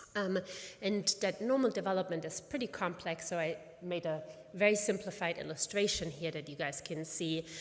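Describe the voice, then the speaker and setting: At a moderate pace, a woman with a slight German accent speaks at a fairly low pitch with ordinary pitch variation. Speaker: pediatric oncologist and physician scientist. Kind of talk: conference presentation. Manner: halting with many fillers.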